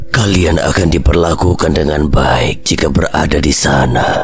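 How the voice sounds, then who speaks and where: Putting on a character voice, a man speaks at a very deep, low pitch with clear background noise behind him. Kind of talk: horror story dramatization. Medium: read story. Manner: stately, measured.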